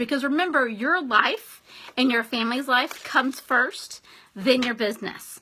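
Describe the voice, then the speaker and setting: Raised and projected, the voice has an animated tone and lively intonation over noticeable background noise. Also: woman. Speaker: direct sales team leader. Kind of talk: live video training.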